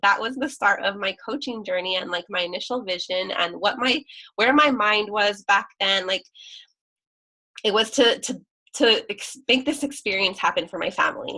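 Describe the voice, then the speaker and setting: A woman speaks at a moderate pace in a fairly high pitch, her tone bright and sharp, with ordinary pitch variation. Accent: American. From California. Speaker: fitness coach. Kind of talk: team call presentation. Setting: video call.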